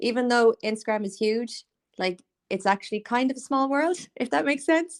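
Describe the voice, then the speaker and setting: In an Irish accent, a woman talks at a fairly quick pace in a high pitch with lively intonation. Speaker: podcast host, small business owner. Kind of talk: casual interview chat. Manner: chatty, filler-heavy.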